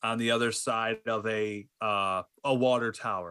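Over a quiet background, a man talks in a normal speaking voice at medium pitch with fairly even intonation. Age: 30s. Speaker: disc golf podcast host. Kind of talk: casual chat.

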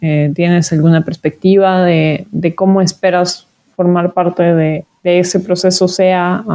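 Speaking at a very slow pace, a woman has a fairly low pitch, a dark, mellow tone, and a monotone, flat intonation. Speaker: podcast host, social researcher and activist. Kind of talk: interview conversation.

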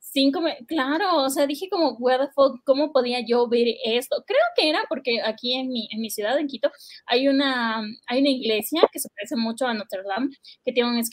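At a moderate tempo, the voice rises and falls in an ordinary way. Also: woman, high pitch for a woman. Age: 20s. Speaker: podcast co-host. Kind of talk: casual chat.

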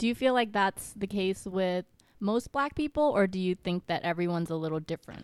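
A normal speaking voice with an American accent moves at a fairly quick pace. The intonation is lively, and the sound is dry and close with no echo. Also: woman, medium pitch for a woman. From US, Vietnamese American family. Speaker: podcast guest. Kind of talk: casual chat.

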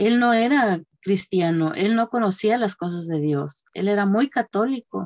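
Delivered at a fairly slow pace, a plain, everyday voice carries lively intonation. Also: woman, medium pitch for a woman. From Mexico, Guerrero. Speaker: church member sharing testimony. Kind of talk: testimony.

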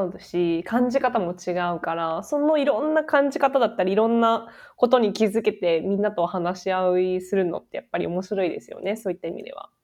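A woman speaks at a fairly quick pace in an ordinary speaking voice. Her pitch is fairly high and her intonation lively. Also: big swings in loudness, quiet background. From Japan. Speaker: podcast co-host, tech company worker. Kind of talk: casual chat.

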